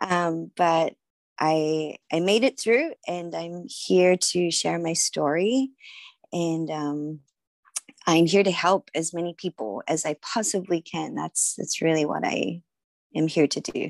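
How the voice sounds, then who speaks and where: Dry and close with no echo, a woman's fairly low voice moves at a very slow pace with ordinary pitch variation. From Australia, Sydney. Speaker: author and yoga healer. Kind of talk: interview conversation.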